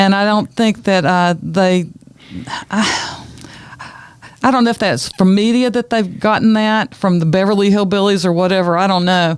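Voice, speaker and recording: The speaker is a woman with a Southern accent. Her pitch is medium. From US South, Wilkes County, North Carolina. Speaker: educator and heritage preservationist. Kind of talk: casual interview chat.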